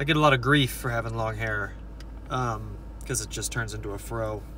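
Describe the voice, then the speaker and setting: Speaking at a fairly slow pace, a man comes through with a dry sound with no echo over light background noise. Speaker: vlogger. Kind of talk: casual vlog chat. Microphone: phone near.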